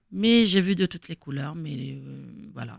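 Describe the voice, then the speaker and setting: Heard in a dry, close sound with no echo, the speaker talks at a fairly quick pace with vocal fry. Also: woman. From Algeria, Kabylie (Fiklma). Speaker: former footballer and coach. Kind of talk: interview.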